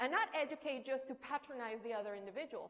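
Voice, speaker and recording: A woman's high, lively voice in a Spanish accent at a fairly quick pace. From Colombia, Barrancabermeja. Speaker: entrepreneur, keynote speaker. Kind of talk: conference keynote speech.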